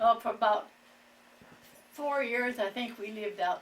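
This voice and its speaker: Speaking in a rural Ohio accent, a woman has a fairly high voice. Her intonation is lively and her pace moderate. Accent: Midwestern US, rural Ohio. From Ohio, Wooster area. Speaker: elderly local resident. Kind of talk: oral history interview.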